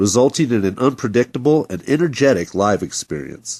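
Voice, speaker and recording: A man's voice with very wide pitch swings sounds dry and close, with no echo. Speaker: podcast host. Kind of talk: interview.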